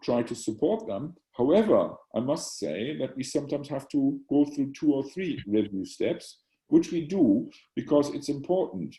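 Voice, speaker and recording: A man's fairly high, somewhat breathy voice, dark and mellow in tone, with lively intonation. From Germany. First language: German. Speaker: psychiatry professor and journal editor. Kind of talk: Q&A after lecture. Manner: halting, many repetitions.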